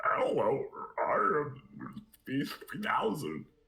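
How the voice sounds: A put-on character voice at a very slow pace. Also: man.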